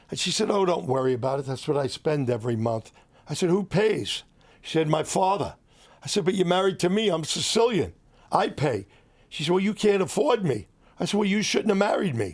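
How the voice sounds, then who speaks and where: With an American accent, a man speaks high in pitch at a fairly quick pace, swinging his pitch very widely. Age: 70s. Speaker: entrepreneur. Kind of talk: interview storytelling.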